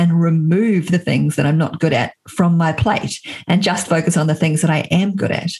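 A woman speaks with an American accent. Her pitch is fairly low, with ordinary variation. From New Zealand. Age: 40s. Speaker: entrepreneur and author. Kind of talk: interview.

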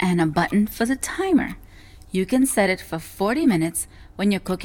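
The intonation runs lively. It comes in an unforced reading voice.

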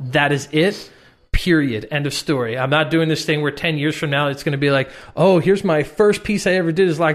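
In an unremarkable speaking voice, a man with a fairly high pitch talks at a fairly quick pace with ordinary pitch variation. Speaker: motion design educator and artist. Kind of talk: casual podcast chat.

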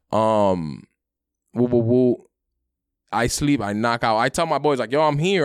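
Speaking at a moderate pace with long, frequent pauses, a man with an American accent keeps a medium pitch and lively intonation. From New York City, Brooklyn (Sunset Park). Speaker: stand-up comedian. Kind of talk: casual chat. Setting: remote call. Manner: animated.

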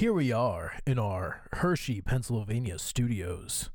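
Using a put-on character voice, a man talks at a fairly slow pace with medium pitch and lively intonation. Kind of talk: broadcast announcer style.

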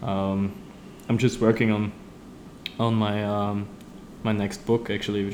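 A man speaks with a German accent at a fairly low pitch. His pace is moderate and his intonation monotone and flat. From Austria. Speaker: street artist. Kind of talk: interview. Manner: halting, many fillers and repeats.

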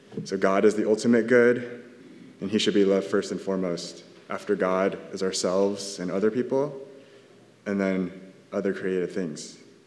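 A man speaks at a moderate pace with fairly even intonation and long, frequent pauses. Room echo is audible. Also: fairly low pitch for a man. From Southern California. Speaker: church elder giving a sermon. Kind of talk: sermon. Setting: church.

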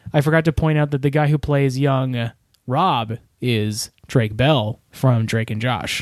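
A man's ordinary speaking voice, medium in pitch, with ordinary pitch variation and a fairly slow pace. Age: 30s. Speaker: podcast co-host. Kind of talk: casual chat.

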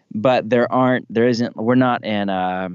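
This man has an ordinary speaking voice, moving at a moderate pace with ordinary pitch variation. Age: 40s. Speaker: pastor and author. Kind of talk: casual chat.

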